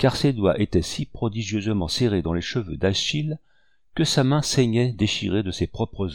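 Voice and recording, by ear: A passage is read aloud in a natural voice.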